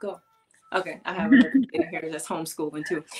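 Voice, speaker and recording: Her voice sits at a medium pitch, and the woman varies it in an ordinary way. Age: 30s. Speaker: embodiment coach. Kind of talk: casual chat. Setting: video call. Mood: reflective, personal. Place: home room. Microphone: webcam.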